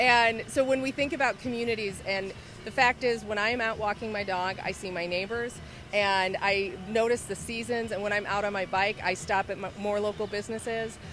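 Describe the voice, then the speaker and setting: A woman speaks at a moderate pace with fairly even intonation, the sound dry with no echo and noticeable background noise behind her. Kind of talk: interview answer. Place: street. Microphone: handheld.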